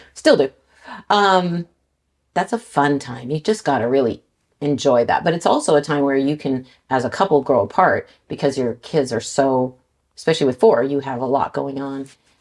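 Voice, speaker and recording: With a Canadian accent, a woman speaks at a moderate pace in a very deep, low voice with ordinary pitch variation. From Canada, Vancouver BC. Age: 60s. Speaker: car salesperson. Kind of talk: casual interview.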